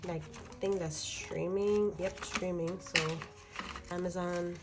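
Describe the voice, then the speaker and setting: A woman's fairly low, fairly slow voice with ordinary pitch variation, audible room echo and noticeable background noise. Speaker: budgeting vlogger. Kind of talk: casual tutorial.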